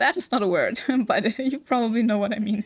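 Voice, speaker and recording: A woman speaks with a non-native accent in a fairly high voice. Her pitch variation is ordinary. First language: not English. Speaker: VTuber game streamer. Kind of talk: casual gameplay livestream chat. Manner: hesitant, many fillers.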